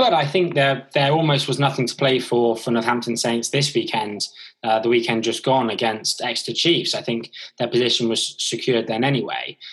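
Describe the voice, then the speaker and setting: At a fairly quick pace, a man with a normal speaking voice talks at a medium pitch with fairly even intonation. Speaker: podcast host. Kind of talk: casual podcast interview.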